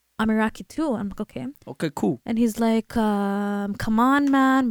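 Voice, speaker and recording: A woman talks at a fairly quick pace in a plain, everyday voice, fairly high in pitch with ordinary variation. The sound is dry and close with no echo, and the recording is very clean with a silent background. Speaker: retail worker, podcast co-host.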